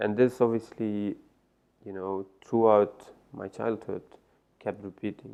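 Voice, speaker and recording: With an Iranian accent, a man talks in a fairly low pitch, his tone dark and mellow and his intonation flat and monotone. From Netherlands, born in Afghanistan. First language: Farsi. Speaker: life coach. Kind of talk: interview.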